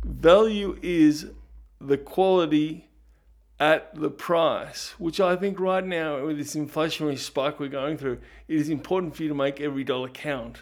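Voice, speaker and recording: On a very clean recording with a silent background, a man with an Australian accent speaks at a fairly high pitch and a moderate pace with fairly even intonation. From Australia, Ballarat, Victoria. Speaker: podcast host and producer. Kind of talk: podcast monologue.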